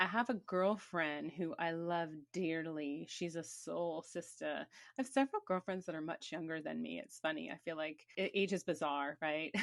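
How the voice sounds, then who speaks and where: With a quiet background behind her, a woman speaks in an unremarkable speaking voice at a fairly low pitch. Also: ordinary pitch variation, moderate pace. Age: 50s. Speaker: podcast host. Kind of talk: casual chat.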